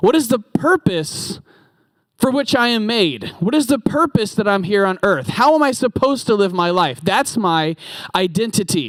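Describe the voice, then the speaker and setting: Keeping his loudness very even, a man with a high pitch talks at a moderate pace, with very wide pitch swings. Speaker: preacher. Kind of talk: sermon. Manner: interactive, asks audience questions. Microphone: handheld mic, considers going without.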